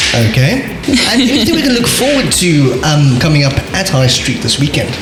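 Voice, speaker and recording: A man's voice with very wide pitch swings and very even loudness, music playing in the background. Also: fairly high pitch for a man, moderate pace. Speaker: radio host. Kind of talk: radio show interview host. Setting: radio studio.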